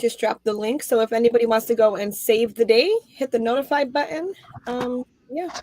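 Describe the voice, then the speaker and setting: A woman with an American accent speaks at a fairly quick pace and a fairly high pitch, in a dry, close sound with no echo. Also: ordinary pitch variation. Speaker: crochet youtuber. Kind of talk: casual chat. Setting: video call. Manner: loud.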